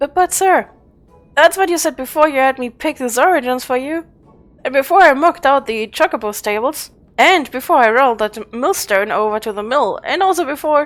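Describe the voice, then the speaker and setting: A put-on, whiny character voice goes at a fairly quick pace. Music plays in the background. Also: man. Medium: game stream. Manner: whiny, indignant.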